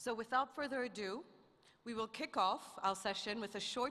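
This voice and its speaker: A woman speaks with an American accent at a moderate pace. Her tone is bright and sharp, with ordinary pitch variation. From Africa and United States. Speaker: event moderator. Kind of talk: formal event hosting.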